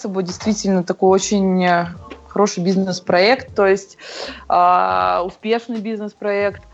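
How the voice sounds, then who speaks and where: A woman's medium-pitched voice at a very slow pace. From Moscow, Russia. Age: 20s. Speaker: CrossFit athlete and coach. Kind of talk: interview.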